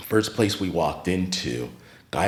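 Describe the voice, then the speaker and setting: With an American accent, the speaker talks at a moderate pace amid audible room echo. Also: man. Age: 50s. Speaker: retired teacher and art space founder. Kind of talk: podcast interview.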